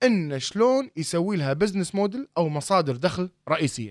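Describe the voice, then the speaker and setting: Over a silent background in a very clean recording, a man with a fairly high pitch swings very widely up and down at a moderate pace, the sound dry and close with no echo. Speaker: startup accelerator founder. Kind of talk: interview.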